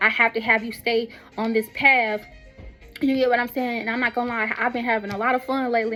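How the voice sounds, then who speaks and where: Over noticeable background noise, a woman speaks at a very fast pace and a high pitch. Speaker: vlogger and author in the medical field. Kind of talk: casual spiritual monologue. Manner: animated.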